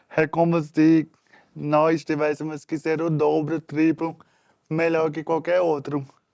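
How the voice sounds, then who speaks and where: With a northeastern Brazilian accent, a man speaks fairly slowly in a fairly high, monotone, flat voice, the sound dry and close with no echo. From Northeast Brazil, Natal. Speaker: influencer. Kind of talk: interview.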